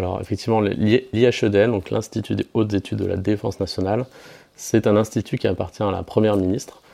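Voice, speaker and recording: With a dark, mellow tone and fairly low pitch, a man delivers his words in a monotone, flat way at a fairly quick pace. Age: 20s. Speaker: youth defense association president. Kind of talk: interview. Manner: hesitant, many filler sounds.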